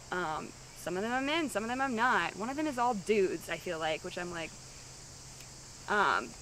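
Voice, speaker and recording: Loud and marked by very wide pitch swings, a woman's speech comes with long, frequent pauses. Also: medium pitch for a woman, moderate pace. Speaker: reality show contestant. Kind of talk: confessional interview. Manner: hesitant, filler-heavy.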